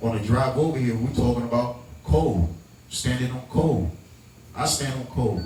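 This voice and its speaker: A man speaks in an animated tone with ordinary pitch variation and long, frequent pauses. Noticeable background noise and audible room echo fill the recording. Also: medium pitch for a man, moderate pace. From New York, the Bronx. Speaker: event producer. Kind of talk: speech to audience.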